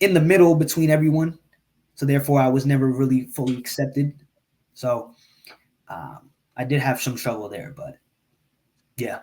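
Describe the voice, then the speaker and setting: The voice has an American accent and a dark, mellow, somewhat breathy tone. It moves at a moderate pace with long, frequent pauses. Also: man, fairly high pitch for a man, ordinary pitch variation. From Eritrea, raised in the US. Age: 20s. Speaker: podcast guest, engineer and podcaster. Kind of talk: casual interview conversation. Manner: hesitant, many fillers and repeats.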